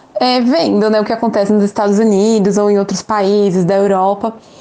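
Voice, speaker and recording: A woman speaks fairly quickly in a fairly high pitch while noticeable background noise is heard. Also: very even loudness. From São Paulo, Brazil. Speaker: English teacher and mother of a child with a rare condition. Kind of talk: interview testimony.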